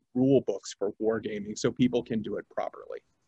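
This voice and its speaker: Delivered at a moderate pace, the voice has a dark, mellow tone against a quiet background, with a dry sound and no echo. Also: man. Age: 40s. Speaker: museum gift shop manager. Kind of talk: presentation. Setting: online video presentation. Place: home room. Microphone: video call.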